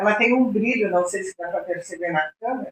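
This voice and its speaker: Fairly high-pitched woman in a southern Brazilian accent, moderate pace and ordinary pitch variation. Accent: gaúcho Brazilian Portuguese. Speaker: podcast host. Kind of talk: podcast interview.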